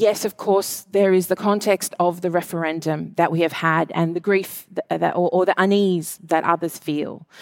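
Recorded very cleanly with a silent background, the sound is dry and close with no echo. A woman speaks at a medium pitch with fairly even intonation. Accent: Australian. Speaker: author and arts advocate, panel moderator. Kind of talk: panel discussion.

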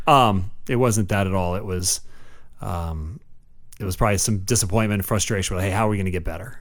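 Talking at a fairly quick pace, a man uses a fairly low pitch with ordinary variation, and the room echo is audible. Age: 40s. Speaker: podcast co-host, youth sports parent. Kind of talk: casual chat. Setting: studio. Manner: animated.

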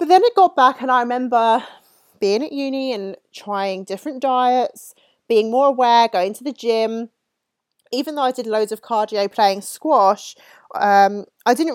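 In a very clean recording with a silent background and a dry, close sound with no echo, a woman with an English accent speaks at a moderate pace, her fairly high pitch showing ordinary variation. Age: 30s. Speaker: fitness coach. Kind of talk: casual monologue.

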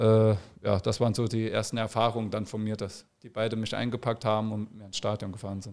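On a very clean recording with a silent background, a man talks at a very fast pace in a fairly low, monotone, flat voice. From Saarland, Germany. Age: 30s. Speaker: professional footballer. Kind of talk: casual interview.

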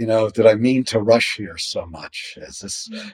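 A man with a New Jersey accent talks at a fairly slow pace and a medium pitch. The recording is very clean, with a silent background and a dry, close sound with no echo. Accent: American (New Jersey). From New Jersey, US. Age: 60s. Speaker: poet. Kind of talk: interview.

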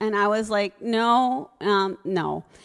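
Music plays in the background as a woman talks with an American accent. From US Northeast, Connecticut. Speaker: storyteller. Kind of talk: live storytelling. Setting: stage with audience.

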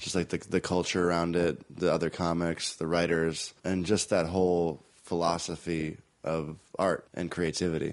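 At a moderate pace, a man speaks in a very deep, low pitch with monotone, flat intonation over a quiet background. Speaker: podcast host and comedy producer. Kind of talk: casual interview chat.

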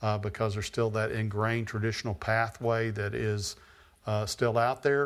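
With an American accent, a man uses an ordinary speaking voice at medium pitch, a moderate pace and fairly even intonation on a very clean recording with a silent background. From Texas. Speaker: post-production company owner. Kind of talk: Q&A talk to students. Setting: university classroom with audience.

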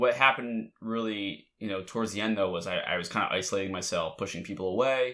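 Speaking at a very fast pace, a man with a Mid-Atlantic American accent has a medium pitch, ordinary pitch variation and a bright, sharp tone, captured in a very clean recording with a silent background. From Delaware. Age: 20s. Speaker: podcast host. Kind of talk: casual chat.

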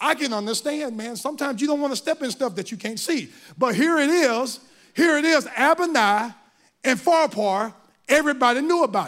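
Over a silent background in a very clean recording, a man with a Southern US accent speaks at an extremely high pitch and a fairly quick pace, with an animated tone and lively intonation. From US South, Mississippi. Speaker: volunteer lay preacher. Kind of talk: sermon. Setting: church with live audience.

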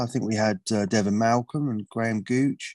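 A plain, everyday voice: a man at medium pitch speaks at a moderate pace with ordinary pitch variation, recorded very cleanly against a silent background with a dry, close sound and no echo. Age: 40s. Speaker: cricket magazine editor. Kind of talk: panel discussion.

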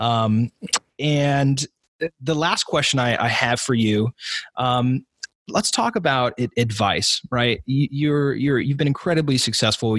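In an American accent, a man speaks at a fairly slow pace with ordinary pitch variation, the sound dry and close with no echo. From Southern Oregon. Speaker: podcast host. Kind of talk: interview. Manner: halting with many repeated words.

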